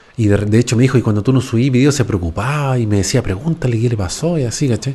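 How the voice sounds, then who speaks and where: This man talks at a fairly quick pace in a Chilean accent, his dark, mellow tone carrying ordinary pitch variation. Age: 40s. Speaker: YouTuber. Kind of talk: casual monologue. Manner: casual, slangy. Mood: relaxed, animated. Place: home room. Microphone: close to the mic; studio mic.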